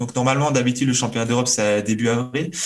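A man's voice carries audible room echo. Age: 30s. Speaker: karate athlete and mental coach. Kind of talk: interview.

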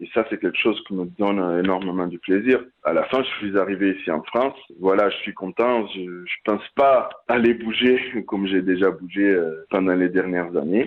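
The speaker's pace is moderate. Pitch varies in an ordinary way. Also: man, fairly low pitch for a man. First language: Portuguese (speaking French). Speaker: rugby player. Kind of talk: interview. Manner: halting.

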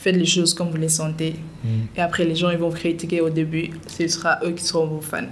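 A woman speaks at a fairly quick pace in a fairly low pitch with monotone, flat intonation, amid noticeable background noise and audible room echo. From Senegal, Dakar. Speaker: content creator and TV presenter. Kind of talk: podcast interview.

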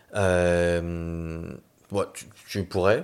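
On a very clean recording with a silent background, a man talks in a very deep, low pitch with fairly even intonation. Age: 30s. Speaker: city councillor and climate training director. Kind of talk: casual interview.

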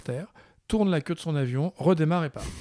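Dark, mellow male speech on a very clean recording, the background silent. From France. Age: 50s. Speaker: filmmaker. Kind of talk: interview. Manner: hesitant.

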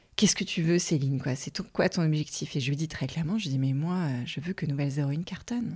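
A woman's very deep, low, somewhat breathy voice at a very fast pace with hardly any pauses, ordinary pitch variation, and a very clean recording against a silent background. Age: 40s. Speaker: podcaster, former marketing director. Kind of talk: unscripted solo monologue. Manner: halting, many repetitions and fillers.

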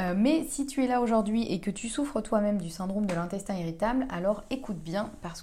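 A woman talks at a fairly quick pace with hardly any pauses, her medium-pitched voice showing ordinary pitch variation. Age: 30s. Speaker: podcast host on gut health. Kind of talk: casual solo monologue. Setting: at home. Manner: hesitant, many fillers.

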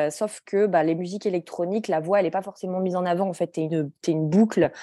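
Dry and close with no echo, a woman's fairly low voice has a dark, mellow tone and fairly even intonation. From France, Grenoble. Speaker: journal creator and publisher. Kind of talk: interview.

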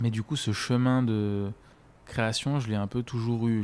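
Over a very clean, silent background, a man with an ordinary speaking voice and medium pitch talks at a fairly slow pace. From French mountain region. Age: 20s. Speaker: freelancer with an eye disease. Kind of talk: personal testimony interview.

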